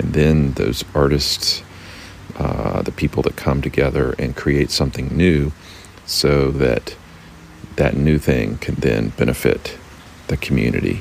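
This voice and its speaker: A man's very deep, low voice at a fairly slow pace, with long, frequent pauses, fairly even intonation and noticeable background noise. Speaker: podcast host. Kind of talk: solo monologue. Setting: outdoors. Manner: halting.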